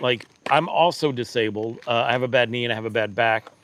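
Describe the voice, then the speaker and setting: A man with a normal speaking voice, medium pitch and a fairly quick pace. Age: 50s. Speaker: e-bike reviewer, livestream host. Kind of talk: casual livestream chat. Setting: live stream.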